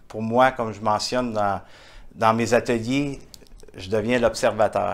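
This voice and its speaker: Speaking fairly slowly in a Quebec accent, a man keeps his intonation monotone and flat. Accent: Québécois. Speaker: entrepreneur, author and international speaker. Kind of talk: interview answer. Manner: warm, heartfelt.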